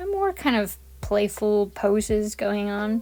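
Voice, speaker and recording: A woman speaks over noticeable background noise. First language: Spanish. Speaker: art YouTuber. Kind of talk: voiceover commentary on painting tutorial. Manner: calm, relaxed.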